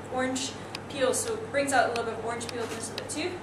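A woman with a Scottish accent amid noticeable background noise. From Netherlands and US, lives in Scotland. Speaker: bartender. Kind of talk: presentation demonstrating a cocktail. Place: bar. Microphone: camera far.

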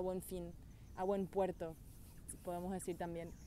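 Over light background noise, a woman in a Paraguayan accent speaks with a dark, mellow tone in a dry sound with no echo. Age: 20s. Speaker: beauty pageant winner. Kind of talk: testimonial talk to camera. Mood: reflective, heartfelt. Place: forest. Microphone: phone near.

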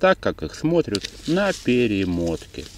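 This is a man speaking. There is noticeable background noise. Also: dry sound with no echo. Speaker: angler vlogger. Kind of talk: casual vlog chat. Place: waterside. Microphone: phone near.

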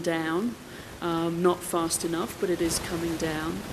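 A woman talks at a moderate pace in a fairly low pitch. Noticeable background noise runs underneath. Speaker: conference speaker. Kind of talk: conference speech. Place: hall. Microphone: podium.

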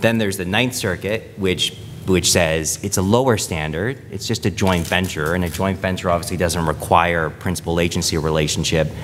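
Light background noise sits behind a man's voice. His pitch is very deep and low, with ordinary variation. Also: moderate pace. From Canada. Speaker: panel moderator, lawyer. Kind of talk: conference panel discussion. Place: meeting room. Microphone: podium.

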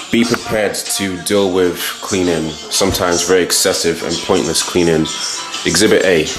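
With clear music in the background, a man speaks at a moderate pace in a very deep, low pitch and fairly even intonation. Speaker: student vlogger. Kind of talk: casual vlog chat. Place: home room. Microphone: phone near.

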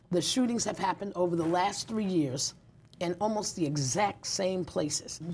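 In a New York accent, a woman speaks at a moderate pace with a medium pitch and ordinary pitch variation. Her loudness stays very even over light background noise. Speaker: community activist and nonprofit founder. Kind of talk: interview. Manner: animated, laughs often. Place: studio. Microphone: lapel.

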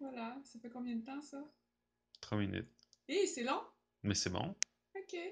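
Speaking at a fairly slow pace over light background noise, a woman uses a high pitch and lively intonation. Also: big swings in loudness. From Quebec. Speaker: amateur athlete. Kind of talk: testimonial; testimonial talk to camera. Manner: hesitant. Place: home room. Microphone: camera far.

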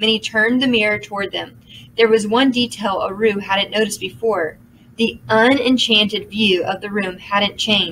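A natural reading voice comes through with fairly even intonation.

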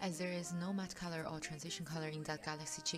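With music in the background, a woman with a very deep, low pitch speaks fairly quickly and with fairly even intonation. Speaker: makeup tutorial creator. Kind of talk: makeup tutorial voiceover.

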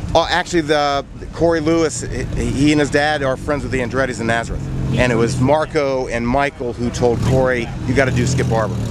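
The speech moves at a fairly quick pace, with a dry sound with no echo and noticeable background noise. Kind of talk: interview answer, then award announcement. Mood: cheerful. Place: stadium. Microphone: lapel.

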